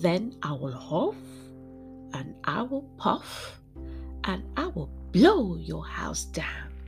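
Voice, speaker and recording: A growling, put-on character voice moves at a very slow pace, with long, frequent pauses. Music plays clearly in the background. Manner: growling, threatening.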